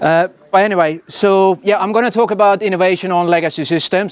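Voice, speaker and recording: Very fast speech from a man with a Swedish accent on a very clean recording with a silent background. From Sweden. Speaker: software engineering executive. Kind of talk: conference talk. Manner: casual, with many fillers and repetitions.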